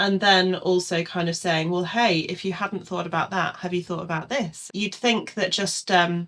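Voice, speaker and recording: In an English accent, a woman speaks at a moderate pace. Her pitch sits in the medium range, and her intonation is fairly even. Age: 40s. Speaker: calligrapher. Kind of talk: casual chat.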